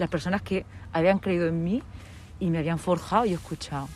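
It's an ordinary speaking voice. The pace is fairly quick. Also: woman. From Murcia region, Spain (Lorca). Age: 40s. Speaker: radio presenter. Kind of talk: interview.

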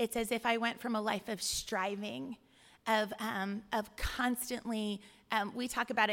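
An unremarkable speaking voice from a woman with an American accent, pitched fairly high with fairly even intonation. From California, Bay Area. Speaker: church deacon. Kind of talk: testimony.

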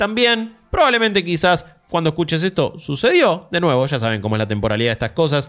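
Male speech, fairly quick in pace. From Argentina. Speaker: podcast host. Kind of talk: casual chat.

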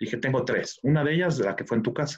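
This man talks very fast, and his voice is somewhat breathy. His pitch varies in an ordinary way. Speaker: wine expert. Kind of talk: interview.

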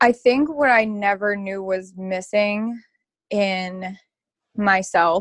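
A woman with a slight Baltimore accent. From Baltimore, Maryland. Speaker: sobriety advocate. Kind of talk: casual interview chat.

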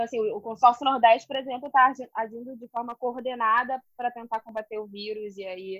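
Speaking fairly quickly, a woman with a fairly high pitch keeps a monotone, flat intonation, her loudness swinging widely in a dry, close recording with no echo. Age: 30s. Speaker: history PhD student, teacher and podcast host. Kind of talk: casual academic discussion. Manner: halting, many fillers.

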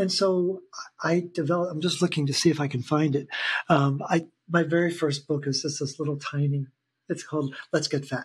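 A normal speaking voice with fairly even intonation at a fairly quick pace. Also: man, fairly high pitch for a man. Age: 60s. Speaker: health educator. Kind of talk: casual interview conversation.

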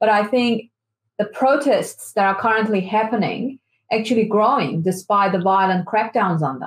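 The speaker has a Persian accent and a somewhat breathy voice. The pace is moderate, with ordinary pitch variation. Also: woman, fairly high pitch for a woman. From Iran. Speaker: activist. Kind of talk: interview.

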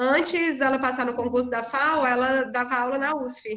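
A woman's raised, projected voice, high in pitch with ordinary pitch variation, over noticeable background noise. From Ceará, Brazil (sertão, Cedro). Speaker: architecture professor and researcher. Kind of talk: casual interview.

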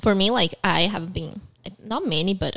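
A woman talks in a bright, sharp tone at a medium pitch. She holds a moderate pace. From Brazil. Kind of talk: casual chat. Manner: halting, fillers, non-native phrasing.

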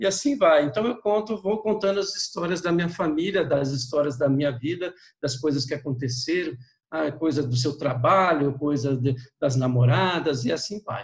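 Using a normal speaking voice, a man talks at a moderate pace with lively intonation and a fairly high pitch. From interior of São Paulo state, Brazil. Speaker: pilgrim and walking guide. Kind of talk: interview, personal storytelling.

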